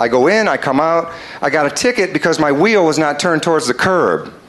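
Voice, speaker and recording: A man talks at a fairly quick pace in a fairly high voice, with noticeable background noise behind him. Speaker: stand-up comedian. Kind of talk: stand-up comedy set.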